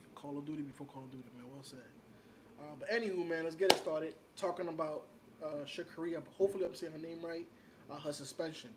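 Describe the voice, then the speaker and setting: A man with a New York accent talks at a very fast pace, his fairly high pitch varying in an ordinary way. His loudness swings widely, and he leaves long, frequent pauses. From New York City, Washington Heights. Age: 30s. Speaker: podcast co-host. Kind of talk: casual chat.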